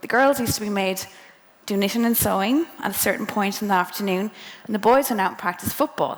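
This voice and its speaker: A woman talks fairly quickly in a western Irish accent. Her medium-pitched voice has lively intonation. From Ireland, County Mayo. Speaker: engineer speaking to students. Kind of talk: motivational talk to students. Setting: presentation to a live audience. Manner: casual, conversational.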